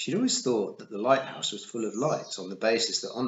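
The clip features plain reading aloud.

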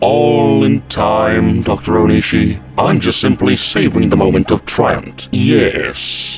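Over loud background noise, a man in a put-on character voice sounds raspy, with a very deep, low pitch and a fairly slow pace. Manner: smug, haughty.

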